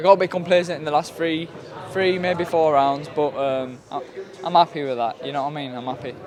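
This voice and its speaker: Over noticeable background noise, a man speaks at a fairly quick pace in a fairly high pitch, his pitch varying in an ordinary way. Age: 20s. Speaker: professional boxer. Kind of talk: post-fight interview. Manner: halting.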